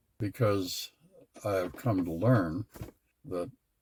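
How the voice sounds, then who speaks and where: A somewhat breathy male voice, fairly low in pitch, with ordinary pitch variation. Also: long, frequent pauses. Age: 80s+. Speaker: retired father of a large family. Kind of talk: interview answer.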